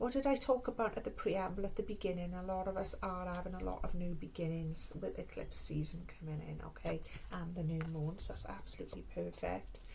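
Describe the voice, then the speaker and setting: A woman with a Welsh accent talks at a fairly quick pace amid noticeable background noise and audible room echo. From Wales. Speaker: tarot and oracle card reader. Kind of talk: spiritual card reading.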